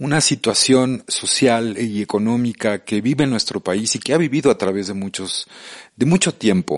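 In a dry, close sound with no echo and a quiet background, a man with an ordinary speaking voice talks at medium pitch and a moderate pace with lively intonation. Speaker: radio host. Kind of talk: radio interview. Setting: radio studio. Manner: casual, friendly.

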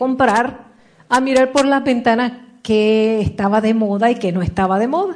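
In an unremarkable speaking voice, a woman speaks fairly slowly at a fairly high pitch. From Puerto Rico. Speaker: motivational speaker. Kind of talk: motivational talk.

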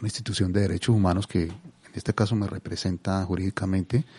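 A man's very deep, low-pitched voice with fairly even intonation. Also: dry, close sound with no echo. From Colombia (Cali). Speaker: father of a victim, activist. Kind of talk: testimony. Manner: calm.

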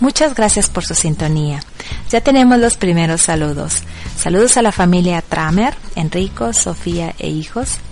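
Over music in the background, a woman speaks at a fairly slow pace in a fairly low pitch, her intonation lively. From Mexico. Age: 40s. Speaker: internet radio host. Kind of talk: radio show presenting.

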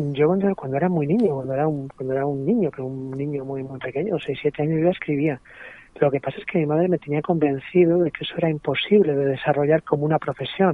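A man talks at a very fast pace in a fairly high pitch with ordinary pitch variation. Noticeable background noise sits behind him. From Madrid, Spain. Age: 40s. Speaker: playwright and stage director. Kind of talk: radio interview.

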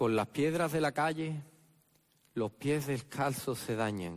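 A man in an Andalusian accent, very slow and solemn in tone, medium in pitch, with lively intonation. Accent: Andalusian (Jerez). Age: 30s. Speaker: Holy Week proclaimer (pregonero). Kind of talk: preacher oratory, solemn pregón. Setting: theatre stage with audience. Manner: rhetorical, solemn, impassioned, rhythmic.

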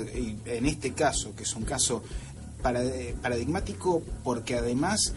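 Over music in the background, a man at a medium pitch talks very slowly with very wide pitch swings. Room echo is audible. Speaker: radio science columnist. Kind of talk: radio talk show segment.

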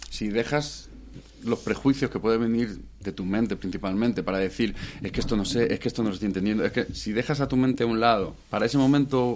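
This is a man with an unremarkable speaking voice. He talks fairly quickly at a medium pitch, with ordinary pitch variation. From Madrid, Spain. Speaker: musician and producer. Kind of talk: radio interview.

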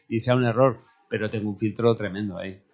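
Using a plain, everyday voice, a man talks at a medium pitch and keeps his pitch variation ordinary. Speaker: musician. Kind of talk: casual chat.

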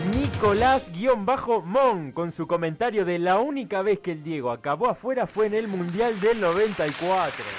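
The voice moves very slowly with lively intonation and hardly any pauses. There's noticeable background noise. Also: man, high pitch for a man. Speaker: podcast co-host. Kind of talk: casual comedic chat.

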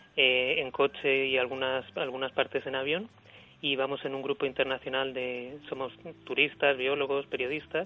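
Noticeable background noise beneath fairly quick talking. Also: man. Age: 30s. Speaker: unemployed journalist. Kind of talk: radio interview testimony. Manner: hesitant, with fillers and repetitions.

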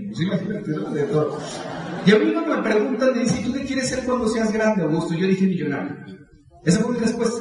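An animated voice moves at a moderate pace with ordinary pitch variation, over audible room echo and noticeable background noise. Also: man. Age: 30s. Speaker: motivational speaker. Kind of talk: motivational speech.

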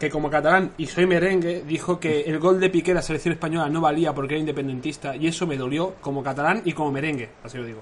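Talking at a very fast pace with hardly any pauses, a man keeps a fairly high pitch and fairly even intonation. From Catalonia. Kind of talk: casual chat.

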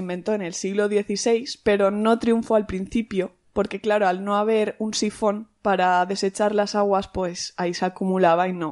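In a quiet background, a woman talks at a moderate pace with hardly any pauses. Her medium pitch carries a monotone, flat intonation. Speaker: podcast host, teacher. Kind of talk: casual chat.

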